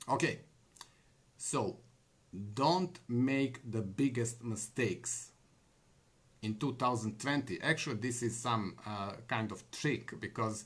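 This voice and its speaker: With a non-native accent, a man of medium pitch talks at a very slow pace in a somewhat breathy voice, using ordinary pitch variation and long, frequent pauses. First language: not English. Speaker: online business vlogger. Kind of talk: live monologue. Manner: halting, many fillers.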